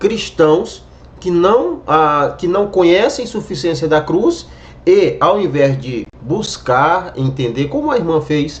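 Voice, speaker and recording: A man speaks at a very slow pace. His pitch is high, and his intonation is lively. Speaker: evangelical YouTuber commenting on a video. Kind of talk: reaction video commentary.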